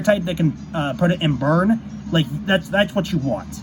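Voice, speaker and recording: Pitched high for a man, this voice carries ordinary pitch variation. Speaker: gaming YouTuber. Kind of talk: tutorial. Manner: fast; halting, many fillers.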